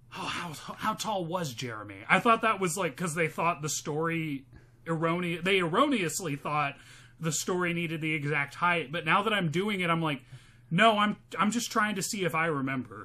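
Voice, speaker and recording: A man's high-pitched voice with a bright, sharp tone, animated and lively in intonation, at a moderate pace. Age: 30s. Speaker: podcast co-host and comedian. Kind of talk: casual comedic chat, movie podcast. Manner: joking, profane, animated.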